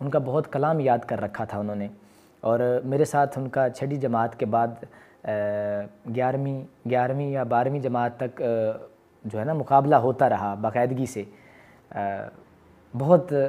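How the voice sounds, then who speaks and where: Pitched at a medium level with ordinary pitch variation, a man talks in an unremarkable speaking voice. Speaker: voice-over artist. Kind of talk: interview answer.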